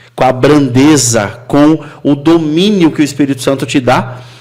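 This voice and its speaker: A man with an unremarkable speaking voice talks at a fairly slow pace and a fairly high pitch. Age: 30s. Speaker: podcast host. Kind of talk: casual chat.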